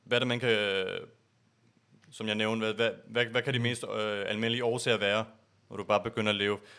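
A man with a bright, sharp tone and medium pitch speaks fairly quickly in a flat monotone, with long, frequent pauses, on a very clean recording with a silent background. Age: 20s. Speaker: podcast host, IT security consultant. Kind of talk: casual chat. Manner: halting, many filler sounds.

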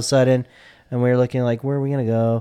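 Over a quiet background, a man speaks with monotone, flat intonation. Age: 40s. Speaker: podcast co-host. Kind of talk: casual chat.

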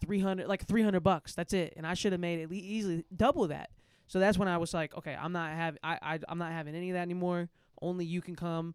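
A man with a St. Louis accent speaks very fast at a high pitch in a monotone, flat intonation, on a very clean recording with a silent background. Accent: St. Louis Midwestern American. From St. Louis, Missouri. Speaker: music artist and producer. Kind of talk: casual chat.

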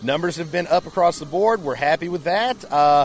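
Amid noticeable background noise, a man speaks with a high pitch at a fairly quick pace. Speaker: haunted attraction manager. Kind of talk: interview.

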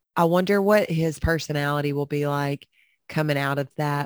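A woman is speaking. Her pitch is very deep and low. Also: dry, close sound with no echo. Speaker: podcast co-host. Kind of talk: casual chat.

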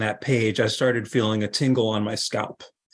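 A man's voice with an American accent and fairly even intonation. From US Northeast (Hudson Valley, New York). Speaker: novelist and men's group leader. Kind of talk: casual interview conversation. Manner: soft-spoken, efficient with words.

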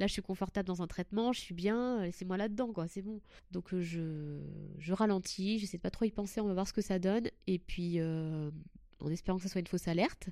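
A woman speaks at a fairly quick pace in a medium pitch with a dark, mellow tone. Her intonation stays fairly even, and the recording is very clean with a silent background. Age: 30s. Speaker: breast cancer patient sharing her story. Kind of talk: testimony. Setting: recorded in a hotel.

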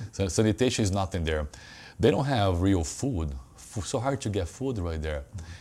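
The voice has a dark, mellow tone and a Brazilian accent. It is somewhat breathy, with lively intonation. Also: man, very deep, low pitch for a man, moderate pace, very clean recording, silent background. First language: Portuguese. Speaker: personal trainer and gym owner. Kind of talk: casual interview.

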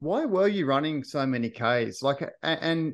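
Speaking with an Australian accent over a quiet background, a man uses a fairly high pitch. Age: 30s. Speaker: podcast host. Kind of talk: interview.

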